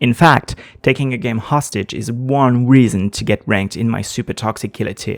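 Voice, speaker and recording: A man with a non-native accent speaks at a moderate pace and medium pitch, with ordinary pitch variation. The recording is very clean, with a silent background. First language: not English. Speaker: gaming video essayist. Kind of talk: scripted narration.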